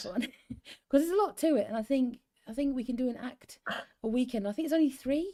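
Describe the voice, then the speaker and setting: Lively intonation rides on a dark, mellow tone at a very fast pace. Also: woman, high pitch for a woman. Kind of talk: casual talk to viewers and co-host, chatty.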